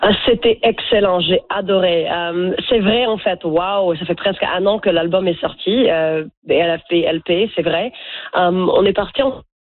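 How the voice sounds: A woman speaks in a fairly low voice with ordinary pitch variation.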